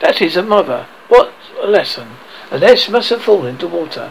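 Using a put-on character voice, a man talks fairly quickly with a high pitch, big pitch swings and vocal fry.

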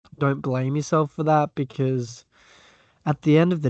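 A man with an Australian accent speaks in a fairly high pitch and a monotone, flat intonation. The sound is dry and close with no echo, over a quiet background. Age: 20s. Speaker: podcast guest, fellow podcaster. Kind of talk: casual chat.

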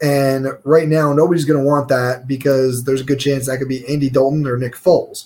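A man with an American accent, somewhat breathy, with a fairly high pitch. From New York. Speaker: podcast co-host. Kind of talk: casual chat.

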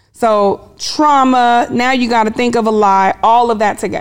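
A woman speaks in a fairly high voice with an American accent. It is an unremarkable speaking voice, with ordinary pitch variation. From Kansas, US Midwest (military family). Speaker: business therapist. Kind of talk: interview conversation. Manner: firm, commanding.

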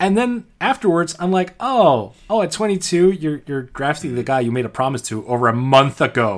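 Moderate-paced speech with hardly any pauses and very wide pitch swings, in a very clean recording with a silent background. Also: man, fairly high pitch for a man. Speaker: basketball podcast co-host. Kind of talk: casual sports chat.

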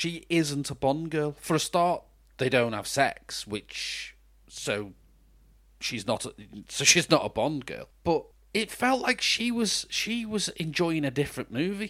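A man with a British accent talks fairly slowly in a fairly high, bright, sharp voice with very wide pitch swings. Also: very clean recording, silent background. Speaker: podcast co-host, film reviewer. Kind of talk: casual chat film review.

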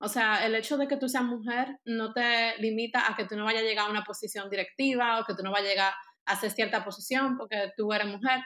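A woman's fairly high, bright, sharp voice at a fairly quick pace with fairly even intonation. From Dominican Republic. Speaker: architect. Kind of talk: casual interview.

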